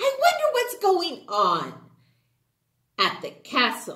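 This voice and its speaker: Using a put-on character voice, a woman speaks very slowly at an extremely high pitch. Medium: read story. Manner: timid.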